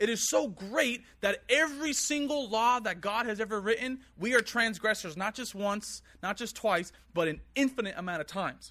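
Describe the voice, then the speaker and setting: A man speaks at a moderate pace with a high pitch, a bright, sharp tone, and ordinary pitch variation. The recording is very clean, with a silent background. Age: 20s. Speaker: preacher. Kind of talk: sermon. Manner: earnest.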